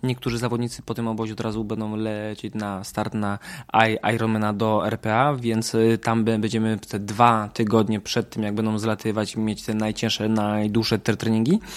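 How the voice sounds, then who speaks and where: A man's fairly low voice moves at a moderate pace, its intonation flat and monotone. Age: 30s. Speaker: triathlon coach, former professional triathlete. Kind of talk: casual interview. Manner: hesitant, many fillers.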